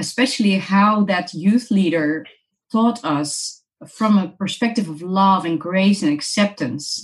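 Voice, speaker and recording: Speaking fairly slowly with a Dutch accent, a woman uses a somewhat breathy medium-pitched voice with ordinary pitch variation. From Netherlands. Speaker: missions organization director. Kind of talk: interview.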